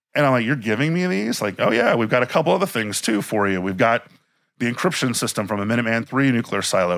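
A man with an American accent talks fairly quickly at medium pitch and with ordinary pitch variation, in an ordinary speaking voice. The recording is very clean, with a silent background. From Miami, Florida. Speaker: museum director and historian. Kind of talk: interview. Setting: inside a museum.

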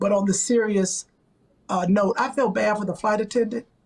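At a moderate pace, a woman talks in a slightly mellow tone. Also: medium pitch for a woman, fairly even intonation.

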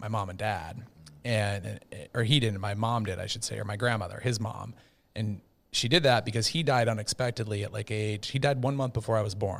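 In a very clean recording with a silent background, a man with an Upper Midwest accent speaks fairly quickly at a medium pitch. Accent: Upper Midwest American. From US Midwest (Edina, Minnesota). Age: 40s. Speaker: marketing agency founder. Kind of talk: casual chat.

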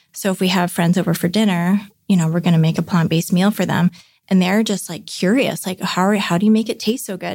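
With a Canadian accent, a woman speaks very fast in a somewhat breathy, medium-pitched voice with flat, monotone intonation, on a very clean recording with a silent background. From Vancouver, Canada. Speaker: baker and business owner. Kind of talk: casual interview chat.

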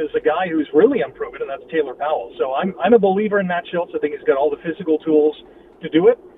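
Noticeable background noise accompanies a man speaking very fast, his pitch varying in an ordinary way. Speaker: football commentator. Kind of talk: casual sports talk.

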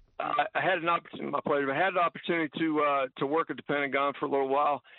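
A man speaks with an American accent. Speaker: radio caller. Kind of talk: call-in radio. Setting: phone call.

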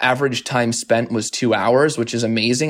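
A man with an American accent in a plain, everyday voice, medium pitch, ordinary pitch variation and a moderate pace. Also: very clean recording, silent background. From Arizona, US. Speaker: media company founder and CEO. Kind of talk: interview.

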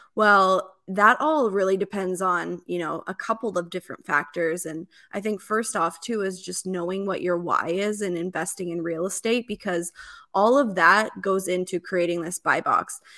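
In a very clean recording with a silent background, a woman with an American accent speaks at a moderate pace and medium pitch in a bright, sharp tone, with ordinary pitch variation. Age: 30s. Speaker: real estate investor. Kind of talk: interview.

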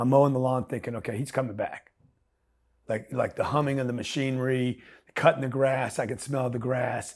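An American-accented man talks at a fairly quick pace in a flat monotone at medium pitch, on a very clean recording with a silent background. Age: 60s. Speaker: entrepreneur. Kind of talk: casual chat. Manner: halting.

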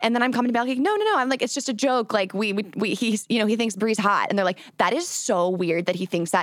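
A woman at fairly high pitch, very fast pace and hardly any pauses, over noticeable background noise. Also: ordinary pitch variation, very even loudness. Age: 20s. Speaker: content creator and podcaster. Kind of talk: interview.

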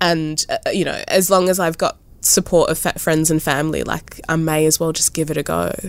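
A woman speaks with an Australian accent at a fairly quick pace. She hardly pauses at all. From Australia, New South Wales South Coast. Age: 30s. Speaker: visual artist. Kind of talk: interview.

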